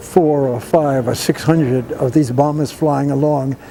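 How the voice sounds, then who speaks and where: With music in the background, a man with an American accent and a fairly high pitch talks at a fairly slow pace with ordinary pitch variation. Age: 90s. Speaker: war veteran. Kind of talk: testimony. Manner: halting.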